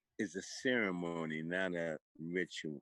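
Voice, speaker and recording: Recorded dry and close with no echo, a man speaks in a very deep, low voice. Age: 70s. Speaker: jazz drummer. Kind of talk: casual chat.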